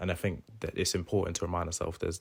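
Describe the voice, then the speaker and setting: In a very clean recording with a silent background, a man speaks with a very deep, low pitch and monotone, flat intonation. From England, Corby (Northamptonshire). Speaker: university student. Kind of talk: interview.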